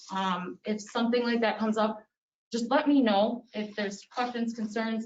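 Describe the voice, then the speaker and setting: Her somewhat breathy, fairly high voice moves at a moderate pace with fairly even intonation. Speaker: police officer. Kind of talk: public meeting remarks. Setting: town board meeting.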